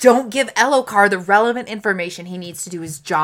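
An unforced reading voice is heard here.

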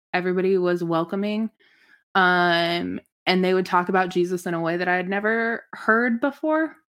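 A woman with a Midwestern American accent speaks at a moderate pace and medium pitch, with ordinary pitch variation. The recording is very clean, with a silent background. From US Midwest, Lincoln, Nebraska. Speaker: church community worker. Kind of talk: casual interview.

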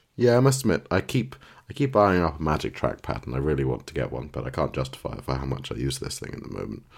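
Talking at a very fast pace, a man with a very deep, low pitch and vocal fry makes very wide pitch swings. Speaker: podcast co-host. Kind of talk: casual chat about tech and TV.

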